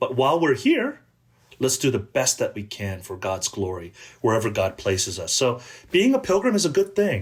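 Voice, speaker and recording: A man with an American accent speaks at a fairly quick pace in a somewhat breathy voice with very wide pitch swings. The recording is very clean, with a silent background. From Southern California, Korean American. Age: 50s. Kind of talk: podcast interview. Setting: podcast recording.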